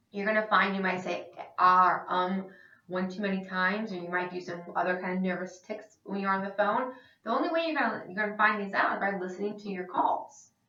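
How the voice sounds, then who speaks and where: Amid audible room echo, a woman talks fairly quickly at a medium pitch with ordinary pitch variation. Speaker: sales trainer. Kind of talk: instructional presentation. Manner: fast; animated.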